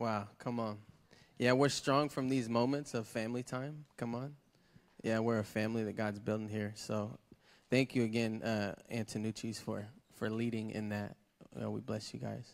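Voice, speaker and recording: A man speaks in a normal speaking voice at medium pitch, with fairly even intonation. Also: moderate pace. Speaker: church service host. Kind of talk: church announcements. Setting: church with congregation.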